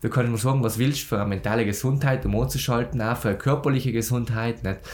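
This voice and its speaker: Speaking with vocal fry, a man uses a medium pitch and ordinary pitch variation. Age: young. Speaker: podcast host, agency founder. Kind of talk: podcast interview.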